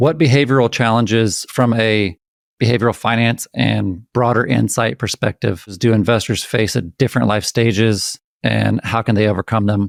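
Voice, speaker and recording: A man with an unremarkable speaking voice talks at a medium pitch and a moderate pace with ordinary pitch variation. The very clean recording has a silent background, a dry, close sound with no echo, and very even loudness. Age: 40s. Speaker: podcast host. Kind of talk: podcast interview.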